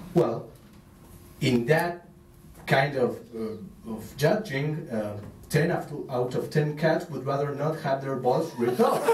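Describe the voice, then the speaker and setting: The speaker talks with an Argentine accent at a fairly slow pace. There are long, frequent pauses and audible room echo. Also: man, fairly high pitch for a man, ordinary pitch variation. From Argentina. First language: Spanish. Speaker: stand-up comedian. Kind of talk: stand-up. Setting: stage with audience at open mic. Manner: halting, many fillers.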